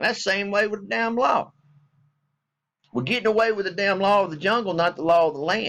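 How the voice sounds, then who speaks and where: Speaking at a fairly quick pace, a man with a high pitch shows ordinary pitch variation and takes long, frequent pauses. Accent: Southern US. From US South. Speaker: military veteran vlogger. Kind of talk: casual vlog rant. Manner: animated.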